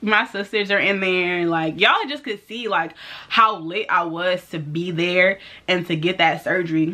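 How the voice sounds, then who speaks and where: A woman's medium-pitched, bright, sharp voice at a moderate pace, with ordinary pitch variation. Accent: American. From St. Louis, Missouri. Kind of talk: casual talk to camera. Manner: upbeat, chatty.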